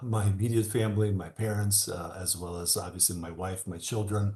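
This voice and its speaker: Over a quiet background, a man talks in a fairly low, somewhat breathy voice with fairly even intonation. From Albania, Tirana. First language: Albanian. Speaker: attorney and political candidate. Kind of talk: panel interview. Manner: halting, many fillers.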